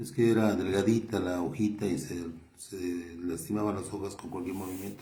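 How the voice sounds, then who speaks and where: Somewhat breathy with a dark, mellow tone, this voice keeps a moderate pace and fairly even intonation amid audible room echo. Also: man, very deep, low pitch for a man. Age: 70s. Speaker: lay preacher and doctor. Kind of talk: sermon. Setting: doctor's office. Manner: halting.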